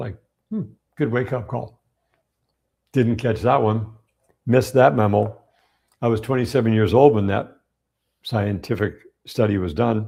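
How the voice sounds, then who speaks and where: A man's medium-pitched voice with a dark, mellow tone and vocal fry, ordinary pitch variation, a moderate pace with long, frequent pauses, on a very clean recording with a silent background. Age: 60s. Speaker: health educator. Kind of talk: live-streamed Q&A monologue. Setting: live stream. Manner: animated.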